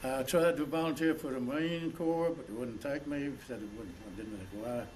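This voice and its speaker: Amid noticeable background noise and audible room echo, a man with a South Carolina accent speaks at a moderate pace with a fairly high pitch and lively intonation. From South Carolina, Langley. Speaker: war veteran. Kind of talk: oral history interview. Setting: college. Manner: halting.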